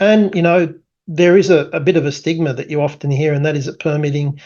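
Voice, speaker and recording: The speaker goes at a fairly quick pace with an Australian accent. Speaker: tech company founder presenting product. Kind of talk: product presentation. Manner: casual with many fillers.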